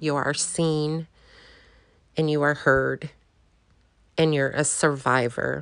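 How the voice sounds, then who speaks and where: A woman with an American accent speaks very slowly at a very deep, low pitch, with long, frequent pauses. Her intonation is monotone and flat, and the background is quiet. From US Midwest/South (Kansas, Oklahoma, Arizona). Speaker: podcast host. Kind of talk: personal monologue. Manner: hesitant, many ums.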